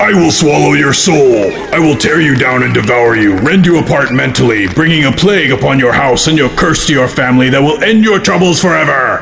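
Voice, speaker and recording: Loud background noise surrounds a man doing a put-on character voice. His pitch is medium and his pace fairly quick. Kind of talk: horror villain overacting. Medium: comedy sketch. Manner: menacing, grandiose.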